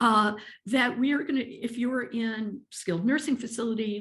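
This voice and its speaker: The background is quiet as a woman talks. Her voice is fairly high and somewhat breathy. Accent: American. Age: 60s. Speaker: ageism advocate. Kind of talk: webinar presentation.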